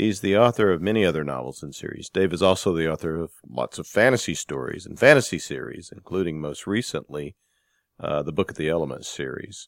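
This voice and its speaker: With a very deep, low pitch and vocal fry, a man speaks at a fairly quick pace with lively intonation, in a dry, close sound with no echo on a very clean recording with a silent background. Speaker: podcast host and book editor. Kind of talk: casual interview and book news.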